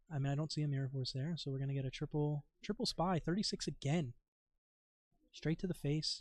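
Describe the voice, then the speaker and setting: Somewhat breathy, a man with a fairly high pitch speaks at a fairly quick pace with fairly even intonation. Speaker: card game tournament commentator. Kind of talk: live commentary. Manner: casual.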